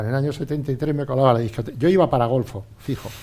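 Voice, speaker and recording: A man talks at a very fast pace in a medium pitch with fairly even intonation. His tone is dark and mellow. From Spain, Albacete region (born Ontur). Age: 60s. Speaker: former pro cyclist and businessman. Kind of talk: casual interview chat. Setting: radio studio.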